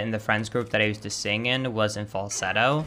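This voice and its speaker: In a very clean recording with a silent background, a man with a slight Swedish accent speaks in a bright, sharp tone with fairly even intonation. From Sweden. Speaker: video game streamer. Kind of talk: casual chat.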